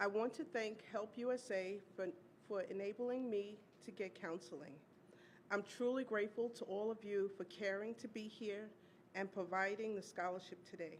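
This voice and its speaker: At a moderate pace, a woman speaks in a plain, everyday voice of medium pitch with ordinary pitch variation. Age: 60s. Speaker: domestic violence survivor, teaching artist. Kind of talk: testimony speech. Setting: awards luncheon stage.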